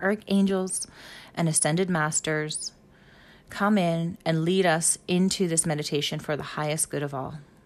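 A woman with a normal speaking voice talks at a fairly slow pace. Her pitch is fairly low, with ordinary pitch variation. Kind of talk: guided meditation. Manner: calm, hushed, coaxing.

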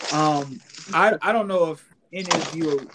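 It is an ordinary speaking voice with lively intonation. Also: man. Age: 20s. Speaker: sports podcast host. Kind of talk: casual chat.

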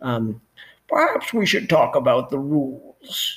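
A man puts on a character voice pitched high. He speaks at a very slow pace.

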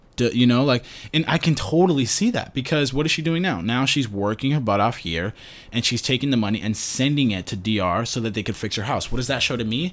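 A plain, everyday voice from a man at medium pitch, with an American accent and lively intonation. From New York City. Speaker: podcast host. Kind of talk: casual chat.

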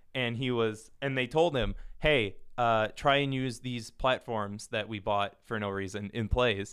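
The voice is a plain, everyday voice with ordinary pitch variation. It moves at a moderate pace. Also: man. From US Midwest, Minnesota. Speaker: podcast guest. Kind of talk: casual chat.

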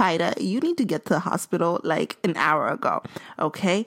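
Here a woman with an ordinary speaking voice talks at a medium pitch and a moderate pace. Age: 20s. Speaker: podcast host. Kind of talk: personal storytelling monologue.

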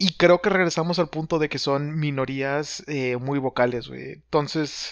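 A fairly high-pitched man with a Mexican accent, fairly slow in pace and fairly even in intonation. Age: 30s. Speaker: podcast co-host, audio editor. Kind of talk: casual chat.

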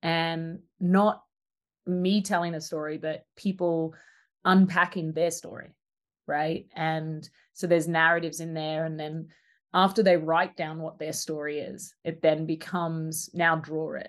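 A woman in an Australian accent, fairly low-pitched, with monotone, flat intonation, a fairly slow pace, big swings in loudness, and a quiet background. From rural Australia. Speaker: social design ethnographer and artist. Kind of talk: casual interview conversation.

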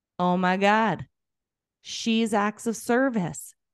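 A woman is speaking. The sound is dry and close, without any echo. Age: 40s. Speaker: life and business coach. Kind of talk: casual interview conversation.

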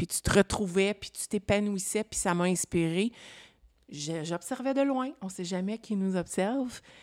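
At a moderate pace, a woman talks at a medium pitch with ordinary pitch variation. The sound is dry and close with no echo, and the recording is very clean with a silent background. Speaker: podcast co-host, entrepreneur. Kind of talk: interview in casual chat.

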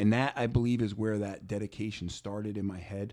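A man with an American accent uses a normal speaking voice at a fairly low pitch. He talks at a fairly quick pace on a very clean recording with a silent background. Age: 30s. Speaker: strength and conditioning coach. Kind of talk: casual interview.

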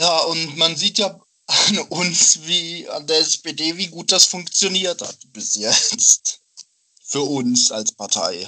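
A man speaks at a very slow pace in a high voice. His intonation is lively. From Dortmund, Germany. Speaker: student, party member. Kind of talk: casual chat.

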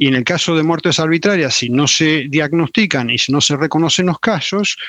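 A man with fairly high pitch and lively intonation at a moderate pace, recorded dry and close with no echo against a quiet background. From Argentina, Salta. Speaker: forensic doctor, UN human rights expert. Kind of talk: interview. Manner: halting, many fillers.

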